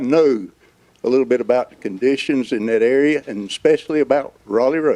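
A man with a North Carolina accent speaks at a medium pitch. His tone is dark and mellow. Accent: US Southern (North Carolina). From North Carolina, Johnston County. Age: 70s. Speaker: local resident, public commenter. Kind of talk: public comment. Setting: public meeting hall, seated.

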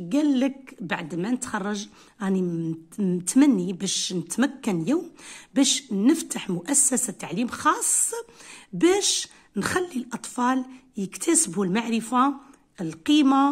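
A woman with an Algerian accent at a very slow pace, very wide pitch swings, long, frequent pauses and a quiet background. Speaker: English teacher. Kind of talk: tutorial. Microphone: phone near.

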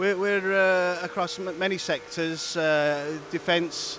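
A man's flat, monotone delivery, dry with no echo, over noticeable background noise. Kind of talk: interview answer. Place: factory. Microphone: handheld.

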